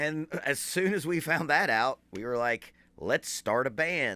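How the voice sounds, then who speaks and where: Recorded very cleanly against a silent background, a man with an Appalachian accent speaks at a fairly high pitch with lively intonation. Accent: Appalachian American. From southern West Virginia, Boone County. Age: 40s. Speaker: drummer and drum teacher. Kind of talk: casual talk to an audience.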